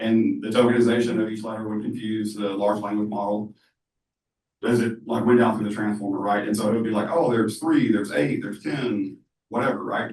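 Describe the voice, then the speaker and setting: At a fairly quick pace, a man speaks in a fairly low pitch with fairly even intonation. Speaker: AI company founder, workshop speaker. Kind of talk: workshop presentation. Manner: loud; casual, filler-heavy.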